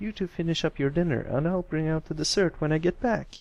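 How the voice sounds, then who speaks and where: A man puts on a character voice, pitched high. He speaks at a fairly quick pace. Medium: read story.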